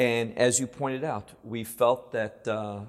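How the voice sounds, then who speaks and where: A man with an American accent, a normal speaking voice, medium pitch, ordinary pitch variation and a moderate pace. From United States. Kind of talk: interview conversation about faith and Israel. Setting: studio.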